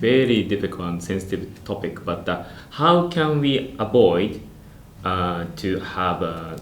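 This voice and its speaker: Delivered at a fairly slow pace in a Japanese accent, the speech has ordinary pitch variation. Audible room echo surrounds the voice. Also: man. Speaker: IT business manager and channel host. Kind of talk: interview. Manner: halting.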